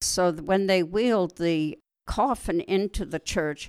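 A woman with a western Canadian accent talks at a fairly slow pace with ordinary pitch variation. The sound is dry and close, with no echo. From Canada, Alberta (farm near Wetaskiwin). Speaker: retired nurse. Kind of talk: interview storytelling. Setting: at home.

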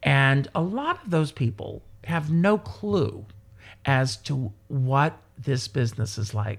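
A somewhat breathy voice moves at a very slow pace in a very clean recording with a silent background. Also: man, medium pitch for a man, lively intonation. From South Carolina, US. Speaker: entertainer and performer. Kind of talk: casual interview chat.

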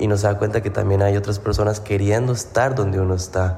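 A man's fairly low, monotone, flat voice moves at a fairly quick pace amid noticeable background noise and audible room echo. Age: 20s. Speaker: fitness coach and podcast host. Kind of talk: casual monologue.

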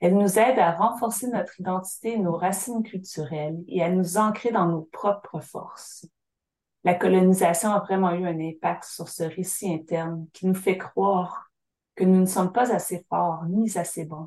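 A woman speaks at a fairly slow pace in a medium pitch, with ordinary pitch variation. Her voice sounds somewhat breathy. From Syilx Nation, interior British Columbia, Canada. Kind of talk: interview. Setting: remote call from home by the fireplace.

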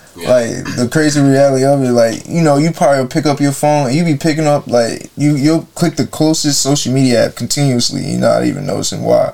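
A man with an American accent talks at a fairly quick pace with hardly any pauses and a fairly high pitch. His intonation is fairly even, and there is noticeable background noise. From Jacksonville, Florida. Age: 20s. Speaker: podcast co-host. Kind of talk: casual chat.

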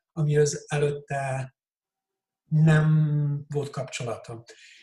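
This man's voice is dark and mellow, fairly high-pitched and somewhat breathy, and he talks at a very slow pace. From Switzerland, Hungarian parents. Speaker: coach. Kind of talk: casual interview.

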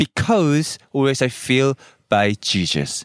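A man with a Korean accent speaks at a fairly slow pace with ordinary pitch variation. His voice sounds dry and close, with no echo. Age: young. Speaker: radio announcer, former army officer. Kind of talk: personal testimony. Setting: in a car. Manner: halting.

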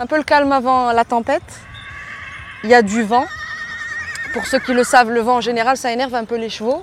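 Over noticeable background noise, a woman with a high pitch talks at a fairly quick pace, with long, frequent pauses. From Morocco. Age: 40s. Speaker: podcast host. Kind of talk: narrated documentary podcast; live on-site description. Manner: animated.

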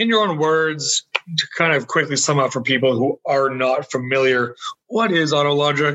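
A man with an ordinary speaking voice speaks at a moderate pace in a fairly high pitch. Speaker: podcast host and magazine owner. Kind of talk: interview.

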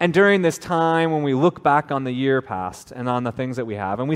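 Here is a man with an unremarkable speaking voice at a medium pitch. He speaks at a moderate pace with lively intonation. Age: 30s. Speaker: pastor. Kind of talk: sermon. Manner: casual, conversational.

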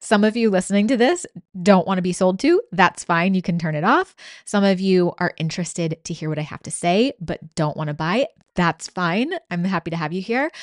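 With a confident, upbeat tone, a woman of medium pitch speaks at a fairly quick pace with ordinary pitch variation, her sound dry and close with no echo against a quiet background. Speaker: life and business coach podcast host. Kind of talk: sales pitch. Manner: energetic, hype-driven, persuasive; direct, confident, upbeat.

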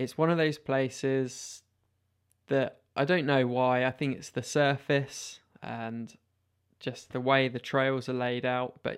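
With a British accent, a man talks at a fairly slow pace and medium pitch, keeping his intonation fairly even. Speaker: mountain bike podcaster. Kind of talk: solo podcast monologue.

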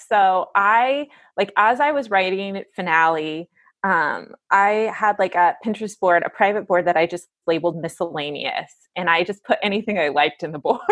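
Ordinary pitch variation at a moderate pace. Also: woman, medium pitch for a woman. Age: 30s. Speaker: novelist. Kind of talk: interview.

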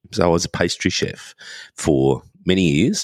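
Speaking at a moderate pace with an Australian accent, a man has a very deep, low pitch, vocal fry and ordinary pitch variation, in a dry, close sound with no echo. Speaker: podcaster, former pastry chef. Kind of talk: casual chat. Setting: video call.

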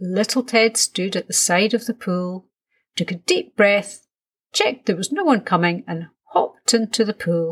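Natural-voiced reading aloud, pitch varying in an ordinary way, the background quiet

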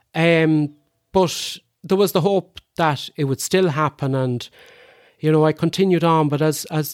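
The speaker has an Irish midlands accent and a moderate pace. The sound is dry and close, with no echo. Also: man. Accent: Irish (Roscommon). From Ireland, County Roscommon. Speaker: lung transplant recipient. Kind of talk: interview.

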